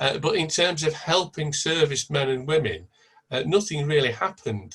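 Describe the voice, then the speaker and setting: With a Lancashire accent, a man speaks at a moderate pace with ordinary pitch variation. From Blackpool, northern England. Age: 70s. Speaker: event participant. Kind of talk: online panel discussion. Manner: halting.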